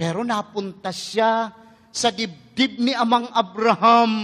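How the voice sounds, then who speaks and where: This man's voice has a bright, sharp tone. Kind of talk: sermon. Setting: church Mass. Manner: emphatic.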